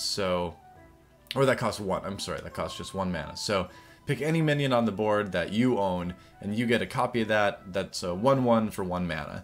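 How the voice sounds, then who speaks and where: With music in the background, a man with a fairly low pitch talks at a moderate pace and ordinary pitch variation. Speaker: gaming commentator. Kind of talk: casual talk to camera.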